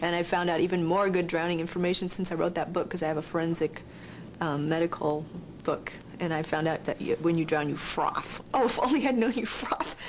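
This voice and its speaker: A woman with a Californian accent, fairly low in pitch, at a fairly quick pace with ordinary pitch variation, over noticeable background noise. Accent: Californian American English. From Southern California. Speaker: horror author. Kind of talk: interview. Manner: casual, slangy.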